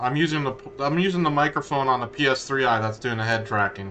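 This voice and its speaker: A man speaks at a fairly quick pace in a medium pitch, with ordinary pitch variation. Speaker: gaming streamer. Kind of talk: casual chat. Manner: loud; halting. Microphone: headset tracker mic, sounds poor.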